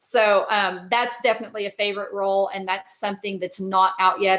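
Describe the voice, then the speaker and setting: A woman with a Texas accent speaks at a fairly quick pace and a medium pitch. Her intonation is flat and monotone. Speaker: actress and film producer. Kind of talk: interview.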